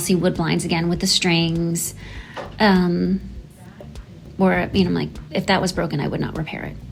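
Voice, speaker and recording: A woman's medium-pitched voice at a fairly quick pace, with long, frequent pauses and noticeable background noise. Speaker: window treatment designer. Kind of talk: interview Q&A. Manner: halting, many fillers; casual, conversational.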